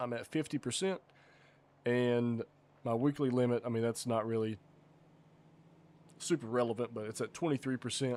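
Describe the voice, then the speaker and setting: A man speaks with an American accent at a moderate pace and medium pitch. His intonation is fairly even, with long, frequent pauses. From US South. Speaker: livestreamer and game server developer. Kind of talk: casual live stream chat. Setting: live stream reading chat. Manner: casual, halting with fillers.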